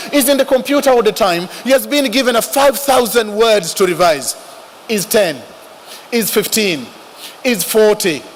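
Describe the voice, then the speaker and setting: A man with an African accent speaks at a high pitch and a moderate pace, with lively intonation, very even loudness and long, frequent pauses. Noticeable background noise runs underneath. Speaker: religious speaker. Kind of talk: speech.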